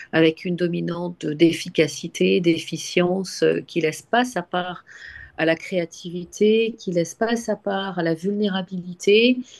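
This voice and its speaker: A woman talks at a fairly slow pace in a fairly low pitch. Her pitch varies in an ordinary way over a quiet background. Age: 60s. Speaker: webinar participant. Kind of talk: personal sharing in group discussion. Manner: halting, many repetitions and hesitations.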